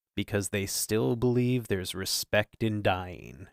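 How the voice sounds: A man puts on a character voice, speaking fairly slowly at a fairly low pitch with lively intonation.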